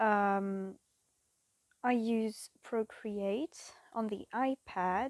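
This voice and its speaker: A woman with a French accent speaks at a fairly high pitch with fairly even intonation. The recording is very clean, with a silent background. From France. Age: 20s. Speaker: cross-stitch vlogger. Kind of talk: casual chat. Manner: halting; awkward.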